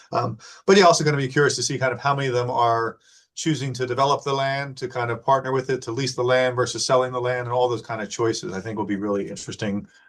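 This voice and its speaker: A man with a medium pitch talks at a very fast pace, somewhat breathy, with fairly even intonation. The background is quiet. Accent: American. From New Jersey. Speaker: webinar host. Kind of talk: Q&A moderation.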